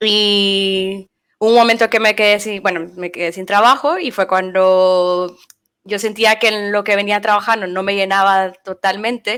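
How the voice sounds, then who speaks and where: Over a silent background on a very clean recording, a woman with a medium pitch speaks at a fairly slow pace with fairly even intonation. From Nicaragua. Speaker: frontend developer. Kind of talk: interview. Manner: hesitant, many fillers.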